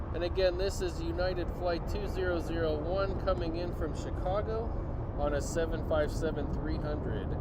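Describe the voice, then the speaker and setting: Noticeable background noise and audible room echo surround a man who talks at a moderate pace. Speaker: plane spotting livestreamer. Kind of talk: live commentary. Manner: loud.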